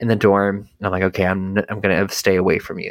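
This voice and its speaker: Speaking very fast, a man has an American accent. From US South, North Carolina. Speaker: cult survivor and podcaster. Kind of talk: interview testimony.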